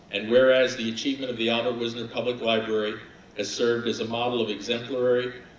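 A man talks at a very fast pace in a monotone with flat intonation. Audible room echo and light background noise surround his voice. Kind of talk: formal resolution reading. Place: hall. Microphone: podium.

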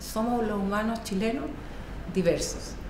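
Noticeable background noise runs throughout. The speaker is a woman. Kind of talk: interview answer. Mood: thoughtful, earnest.

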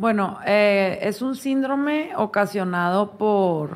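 A woman with a strong northern Mexican accent. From northern Mexico, Chihuahua. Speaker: foundation director, illness survivor. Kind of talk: interview.

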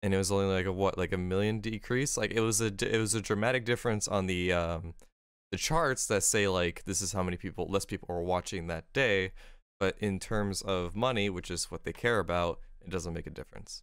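Against a quiet background, a man with a fairly low voice talks at a fairly quick pace with fairly even intonation, a dry sound with no echo, and an unremarkable speaking voice. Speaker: podcast co-host and game streamer; podcast co-host, game streamer. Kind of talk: casual chat. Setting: video call. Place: home room. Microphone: studio mic.

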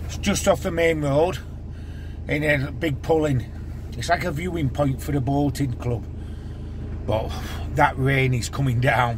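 A man speaks at a fairly slow pace, leaving long, frequent pauses, and his pitch swings very widely. Noticeable background noise runs under him. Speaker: van-life vlogger. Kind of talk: casual vlog chat. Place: car. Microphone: phone near.

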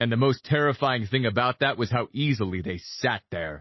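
Lively intonation in plain reading aloud

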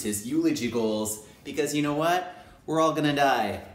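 Audible room echo surrounds a man who talks at a moderate pace. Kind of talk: casual talk to camera. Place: home room. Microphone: phone near.

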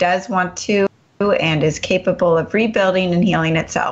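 At a moderate pace, a woman with a plain, everyday voice speaks at a medium pitch. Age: 40s. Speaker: radio health show host and health coach. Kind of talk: talk radio interview.

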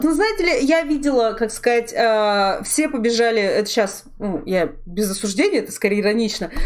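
The voice swings very widely in pitch with an animated tone. The pace is moderate. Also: woman. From Russia, Sverdlovsk region (Urals). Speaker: streamer and artist hosting a talk show. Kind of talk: casual chat. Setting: live stream.

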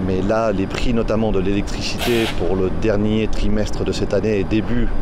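A man is speaking. The sound is dry with no echo, though noticeable background noise is present. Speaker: company CEO. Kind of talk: interview soundbite. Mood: serious, indignant about prices. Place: factory.

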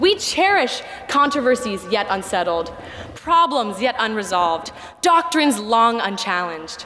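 Pitch swings very widely as a woman talks at a moderate pace. Light background noise can be heard. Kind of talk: commencement speech. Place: stage. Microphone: podium.

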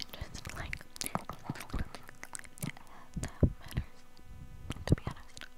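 Someone is whispering at a very slow pace. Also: woman. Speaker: content creator. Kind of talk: soft close-mic chat. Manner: close-mic ASMR whisper. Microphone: lapel.

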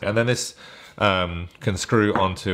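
A man's very deep, low pitch over a quiet background. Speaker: gear reviewer. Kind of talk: tutorial. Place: home room.

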